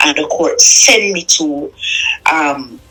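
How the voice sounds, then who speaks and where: A woman speaks over noticeable background noise. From Jamaica, Clarendon. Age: 40s. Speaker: interviewee telling her life story. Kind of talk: testimony. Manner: halting.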